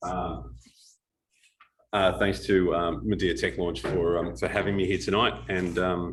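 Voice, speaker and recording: In an Australian accent, a man speaks with a very deep, low pitch, ordinary pitch variation and vocal fry, with audible room echo around him. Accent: Australian, kept. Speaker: startup advisor and guest speaker. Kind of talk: talk to a live audience. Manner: hesitant, many fillers.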